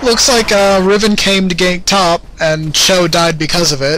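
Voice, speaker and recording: A man speaks at a fairly slow pace in a high pitch. Noticeable background noise can be heard. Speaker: game commentator. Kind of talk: casual game commentary.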